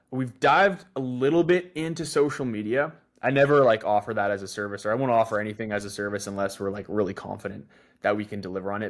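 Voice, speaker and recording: With a Canadian accent and an unremarkable speaking voice, a man talks at a fairly quick pace and ordinary pitch variation in a very clean recording with a silent background. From western Canada (North Shore, Vancouver). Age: 20s. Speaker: marketing agency owner. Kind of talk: podcast interview. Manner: many fillers, conversational.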